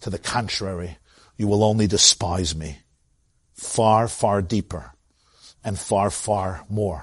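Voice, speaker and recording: A man with a Brooklyn accent speaks very slowly, with a fairly low pitch and a somewhat breathy sound. Long, frequent pauses break his speech over a quiet background. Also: ordinary pitch variation. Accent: New York (Brooklyn). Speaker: rabbi teaching Torah class. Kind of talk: Torah lecture.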